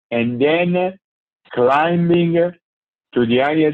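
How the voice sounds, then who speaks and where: The intonation is lively. The pace is very slow. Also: man. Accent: Italian. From Italy. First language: Italian. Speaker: ultra cyclist. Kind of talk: interview answer.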